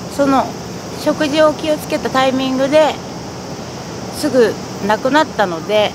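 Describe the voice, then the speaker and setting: The speech moves at a moderate pace with long, frequent pauses. The sound is dry with no echo, and there is noticeable background noise. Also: woman, high pitch for a woman. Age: 40s. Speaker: patient interviewee. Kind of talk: testimony; interview answer. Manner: halting. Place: garden.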